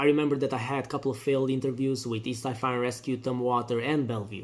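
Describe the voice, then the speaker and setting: A man speaks with a non-native accent at a medium pitch. His intonation stays fairly even. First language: not English. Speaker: firefighter candidate. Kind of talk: testimony.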